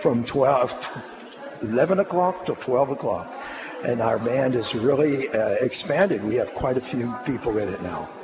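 A man speaks at medium pitch and a fairly slow pace, with lively intonation. Noticeable background noise runs underneath. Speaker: community band member. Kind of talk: casual chat.

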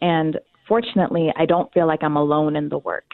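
At a moderate pace, a woman with an American accent talks in a fairly low voice. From US South (North Carolina). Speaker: theater casting director. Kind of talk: interview. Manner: animated.

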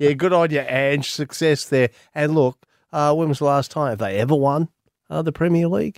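A fairly high-pitched man with an Australian accent, moderate pace and ordinary pitch variation, in a dry, close sound with no echo. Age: 50s. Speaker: sports podcast host. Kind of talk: casual sports chat.

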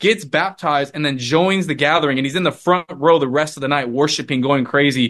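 Hardly pausing, a man with a plain, everyday voice talks fairly quickly at a fairly high pitch, his pitch varying in an ordinary way. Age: 20s. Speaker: revivalist and ministry co-founder. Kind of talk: interview testimony.

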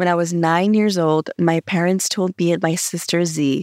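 A woman with an American accent speaks at a moderate pace in a plain, everyday voice, her pitch fairly low, with a dry, close sound, no echo and a very clean, silent background. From Los Angeles, California. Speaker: podcast host. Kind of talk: scripted narration.

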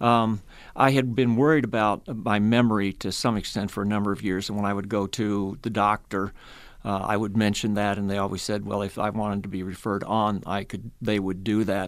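At a fairly quick pace, a man with a fairly low voice speaks in a monotone, flat way on a very clean recording with a silent background. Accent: Midwestern US. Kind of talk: radio interview. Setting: studio.

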